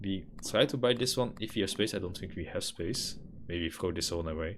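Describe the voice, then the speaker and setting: Speaking with a Dutch accent, a man talks at a fairly quick pace and a fairly low pitch, with ordinary pitch variation. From Netherlands. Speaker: gaming streamer. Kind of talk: live gameplay commentary. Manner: casual, thinking aloud with fillers.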